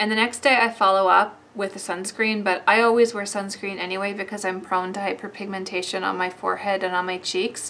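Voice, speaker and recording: Against light background noise, a woman speaks in a flat monotone. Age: 40s. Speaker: beauty vlogger. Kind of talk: product review. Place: home room.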